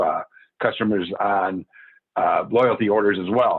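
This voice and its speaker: A man with a fairly low pitch keeps his intonation fairly even. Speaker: network marketing business owner. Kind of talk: testimony. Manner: fast; mumbling.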